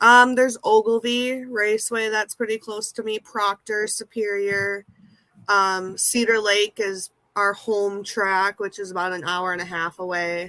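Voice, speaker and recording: A woman's voice has a bright, sharp tone. She speaks at a fairly slow pace with fairly even intonation. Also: medium pitch for a woman, dry, close sound with no echo. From US Midwest, central Minnesota. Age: 20s. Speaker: amateur race car driver, nursing assistant. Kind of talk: interview.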